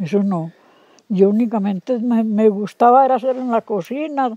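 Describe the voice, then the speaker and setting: A woman speaks at a fairly slow pace with a fairly high pitch and ordinary pitch variation. Her tone is dark and mellow, and the sound is dry and close with no echo. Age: 70s. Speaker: rural woman, kitchen worker. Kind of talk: oral history interview answer.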